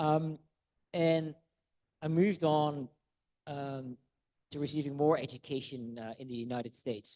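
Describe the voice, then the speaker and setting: A man's dark, mellow tone with fairly even intonation, in a dry, close sound with no echo. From Netherlands. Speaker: food science professor. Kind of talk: lecture. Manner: halting, many repetitions and fillers.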